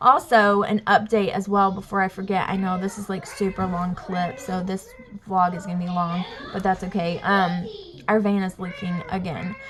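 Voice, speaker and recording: The speaker has a strong Southern US accent and fairly even intonation. Noticeable background noise runs under the voice. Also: woman, medium pitch for a woman. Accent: thick Southern drawl. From US South, Alabama. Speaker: vlogger, mom. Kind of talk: casual vlog talk to camera. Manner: casual, rambling with fillers.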